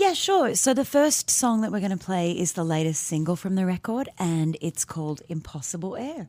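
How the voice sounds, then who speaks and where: In an American accent, a woman with a dark, mellow tone speaks at a moderate pace with hardly any pauses, in a very clean recording with a silent background. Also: medium pitch for a woman, lively intonation. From Australia. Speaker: singer-songwriter. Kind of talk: radio interview. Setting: radio studio.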